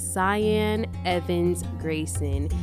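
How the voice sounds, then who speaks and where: Clear music plays behind a woman whose very deep, low voice keeps a fairly even intonation. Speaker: radio show host. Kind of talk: radio host talk and interview intro. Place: studio.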